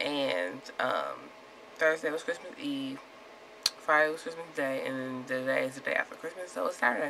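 A woman's very deep, low voice with ordinary pitch variation and noticeable background noise. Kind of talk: casual vlog talk to camera. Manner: slightly slurred speech.

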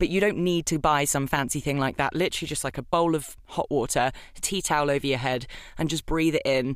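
In a British accent, a woman with a very deep, low pitch speaks at a fairly quick pace with ordinary pitch variation. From UK. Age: young. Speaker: voice actor. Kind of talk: casual chat.

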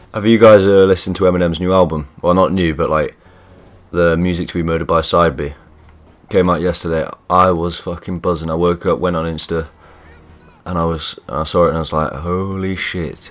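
Music in the background behind a man with a very deep, low pitch, in a British accent, fairly quick and monotone with flat intonation. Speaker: gaming YouTuber. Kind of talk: casual gameplay commentary. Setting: builders audible in background. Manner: casual, chatty.

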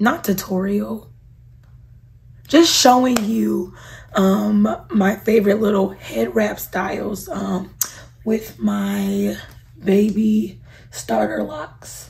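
A woman speaks at a very slow pace with long, frequent pauses over light background noise. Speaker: beauty YouTuber. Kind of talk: tutorial. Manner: casual, animated. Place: home room. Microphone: phone near.

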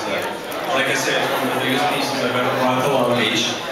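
Loud background noise and audible room echo fill the recording. Over it, a man talks at a fairly quick pace. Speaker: motorsports artist who painted the donated piece. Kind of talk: interview answer at an event. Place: hall.

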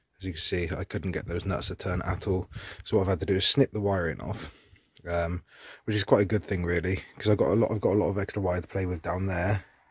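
Against a quiet background, a man's very deep, low voice comes through somewhat breathy and dry with no echo, his intonation fairly even. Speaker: DIY car repair vlogger. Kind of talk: tutorial. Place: street. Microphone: phone near.

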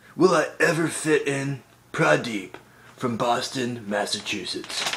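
Light background noise sits behind a man speaking. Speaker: comic character answering mail. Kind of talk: comedic vlog monologue. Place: home room. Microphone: phone near.

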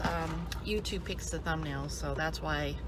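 A woman talks fairly slowly over loud background noise, the sound dry with no echo. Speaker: food vlogger. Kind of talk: casual mukbang vlog chat. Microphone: phone near.

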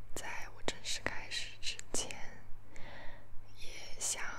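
A woman speaks at a very slow pace. Loud background noise fills the recording. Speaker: ASMR creator. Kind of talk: casual talk to camera. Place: home room. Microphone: phone near.

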